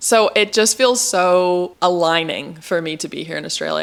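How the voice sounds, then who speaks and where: Fairly low in pitch, the woman's voice shows ordinary pitch variation. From California. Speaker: vlogger. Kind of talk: casual vlog talk.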